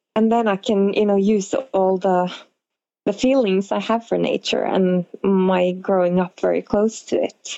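A woman with a Norwegian accent at a medium pitch, fairly slow in pace, with fairly even intonation and very even loudness. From northern Norway. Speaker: model and costume designer. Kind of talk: interview conversation. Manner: hesitant with fillers.

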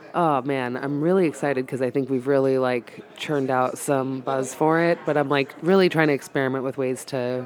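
Hardly any pauses break up the speech, which moves at a fairly quick pace. Noticeable background noise runs underneath. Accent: American. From Massachusetts. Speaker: stand-up comedian. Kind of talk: casual chat. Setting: bar.

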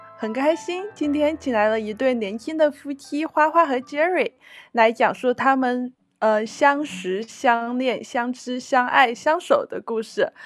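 Set against a quiet background, the speaker talks at a fairly slow pace with ordinary pitch variation. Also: woman. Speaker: radio host. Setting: radio studio.

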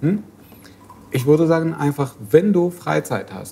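A man with an Arabic accent, speaking at a fairly slow pace. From Syria. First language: Arabic (speaking German). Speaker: refugee activist. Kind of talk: casual discussion. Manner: halting.

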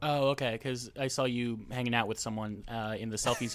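A man with an American accent and an unremarkable speaking voice talks at a fairly quick pace with medium pitch, in a very clean recording with a silent background. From New Jersey. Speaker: podcast co-host. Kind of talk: casual chat.

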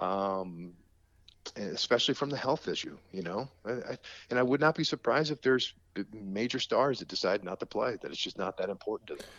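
In an unremarkable speaking voice, a man talks at a fairly quick pace and medium pitch. His intonation is lively. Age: 50s. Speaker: baseball play-by-play broadcaster. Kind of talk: podcast interview. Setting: remote call.

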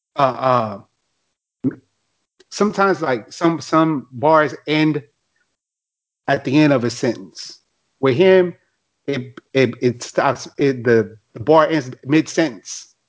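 Speaking at a very slow pace with long, frequent pauses, a man with a fairly high voice uses ordinary pitch variation. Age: 30s. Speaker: rapper. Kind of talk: casual chat.

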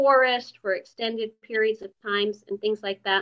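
A normal speaking voice at a moderate pace. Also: woman. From Canada. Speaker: yoga and meditation teacher. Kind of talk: casual interview chat.

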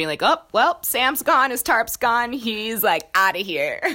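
A woman speaks at a moderate pace in a bright, sharp tone, her pitch swinging very widely. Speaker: podcast host. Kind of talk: interview, casual chat.

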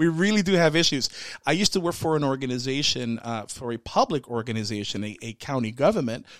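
Speaking at a very fast pace, a man with medium pitch uses lively intonation and an animated tone. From Central Florida. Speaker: podcast co-host. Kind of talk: casual chat.

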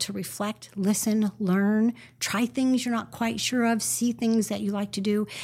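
On a very clean recording with a silent background, a somewhat breathy voice with a Californian accent and a dark, mellow tone moves at a moderate pace with fairly even intonation. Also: woman. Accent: American (Californian). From Northern California. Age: 50s. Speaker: marketing and branding consultant. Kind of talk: interview conversation.

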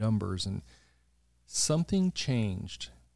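A man talks at a very slow pace. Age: 60s. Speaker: podcast host. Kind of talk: casual conversational interview.

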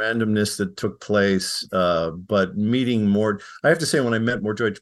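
With an American accent, a man talks at a moderate pace and medium pitch with ordinary pitch variation. It is a plain, everyday voice. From US Midwest (Chicago). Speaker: psychology professor. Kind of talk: interview.

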